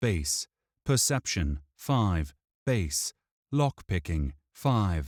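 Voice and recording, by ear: Natural-voiced reading aloud against quiet surroundings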